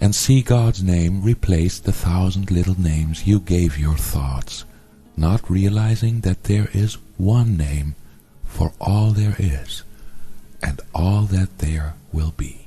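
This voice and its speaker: Music plays behind a man who speaks very slowly in a very deep, low voice. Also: ordinary pitch variation. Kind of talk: spiritual text reading.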